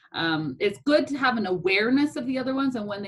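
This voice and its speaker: A woman speaks in a somewhat breathy voice. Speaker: instructor. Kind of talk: lecture. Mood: relaxed, reassuring. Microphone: video call.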